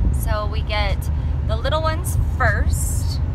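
Loud background noise surrounds a woman's voice, which has a dry sound with no echo. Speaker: vlogger. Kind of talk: casual vlog chat. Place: car. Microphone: phone near.

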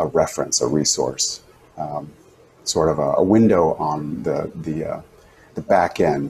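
Light background noise under a man's fairly slow pace. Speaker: teacher. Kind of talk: casual tutorial chat. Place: home room. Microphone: lapel.

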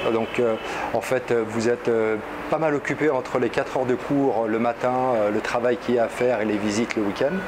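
Over noticeable background noise, a man talks with fairly even intonation and long, frequent pauses. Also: moderate pace. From France. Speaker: student of Arabic giving testimonial. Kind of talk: video testimonial review. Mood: positive, calm. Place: office. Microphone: lapel.

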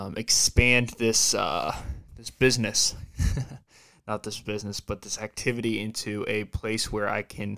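A man speaks at a fairly slow pace and fairly low pitch, in a bright, sharp tone. His intonation is fairly even, over a quiet background. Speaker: podcast host. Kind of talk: casual podcast monologue. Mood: relaxed, laughing at times. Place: home room. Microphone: studio mic.

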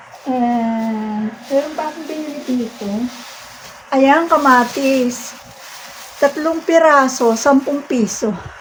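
A woman speaks very slowly at a high pitch with ordinary pitch variation and long, frequent pauses. Her loudness swings widely, and there is noticeable background noise. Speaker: vlogger. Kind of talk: casual vlog monologue.

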